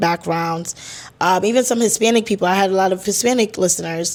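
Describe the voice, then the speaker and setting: The clip is very clean, with a silent background. A woman's medium-pitched voice is heard. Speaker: podcast host. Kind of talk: casual monologue.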